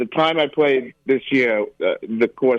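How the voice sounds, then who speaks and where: The pace here is fairly slow. A man talks with a New York accent. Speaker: college football handicapper. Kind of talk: radio interview.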